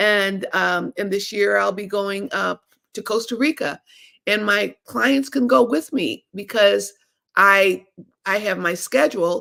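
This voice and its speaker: This voice has a bright, sharp tone with vocal fry, ordinary pitch variation and a fairly slow pace. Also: woman, medium pitch for a woman. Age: 70s. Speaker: lawyer coach. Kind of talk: live stream talk. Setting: livestream on streaming platform. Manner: hesitant, many fillers.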